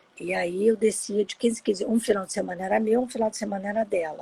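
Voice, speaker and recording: At a moderate pace, a woman speaks in an ordinary speaking voice at a medium pitch. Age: 60s. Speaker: adoptee sharing her story. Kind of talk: personal testimony in a live interview. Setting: Instagram live video.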